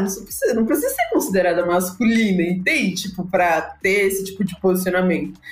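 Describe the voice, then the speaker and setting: A woman talks at a fairly quick pace, with noticeable background noise in the recording. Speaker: pre-sales leader. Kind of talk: casual chat. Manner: animated.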